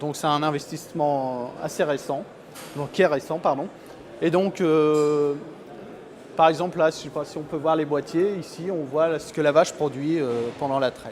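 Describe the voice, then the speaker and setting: A man's fairly high, fairly evenly intoned voice at a fairly slow pace, with long, frequent pauses, big swings in loudness and noticeable background noise. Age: 30s. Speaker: dairy farmer. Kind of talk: interview. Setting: on a farm. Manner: hesitant, many fillers.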